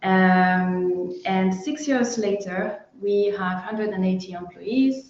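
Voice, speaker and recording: A woman with a French accent at a very slow pace. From France. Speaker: sales and marketing director. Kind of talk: webinar interview. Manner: halting, many fillers.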